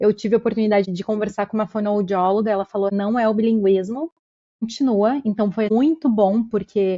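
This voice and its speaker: Ordinary pitch variation runs through a plain, everyday voice. The pace is moderate. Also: woman. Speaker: podcast host. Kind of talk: podcast interview.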